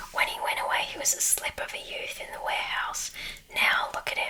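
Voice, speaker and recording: A woman whispering in a raspy, put-on character voice at a fairly quick pace. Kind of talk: whispered ASMR storytelling. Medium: read story.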